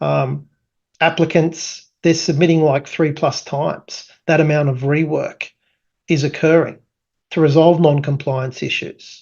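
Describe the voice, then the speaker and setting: The delivery runs at a fairly slow pace. An Australian accent is heard. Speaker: tech company founder presenting product. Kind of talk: product presentation. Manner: casual with many fillers.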